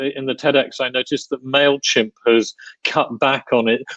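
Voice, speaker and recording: Recorded dry and close with no echo, a man with a British accent speaks at a fairly high pitch with ordinary pitch variation. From United Kingdom. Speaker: podcast host. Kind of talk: interview. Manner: halting.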